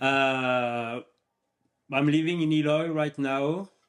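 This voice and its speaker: A man speaks with a French accent. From France. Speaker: professional skydiver. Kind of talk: casual chat.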